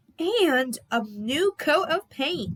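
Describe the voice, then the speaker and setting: A woman puts on a character voice at a high pitch, with very wide pitch swings. The sound is dry and close, with no echo. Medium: read story. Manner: stern.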